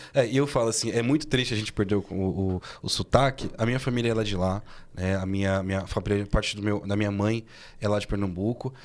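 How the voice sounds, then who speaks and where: A man speaks very fast with a fairly low pitch and fairly even intonation. The recording is very clean, with a silent background. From São Paulo. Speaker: podcast host. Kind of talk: podcast interview.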